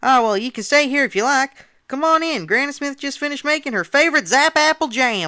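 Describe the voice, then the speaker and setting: A put-on character voice, high-pitched and fairly quick. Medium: read story. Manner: folksy, warm.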